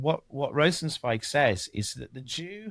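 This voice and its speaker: With an English accent, a man talks at a fairly slow pace, his pitch swinging very widely, in a very clean recording with a silent background and a dry, close sound with no echo. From England. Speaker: podcast co-host. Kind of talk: casual discussion with Torah commentary. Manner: halting, many repeated words.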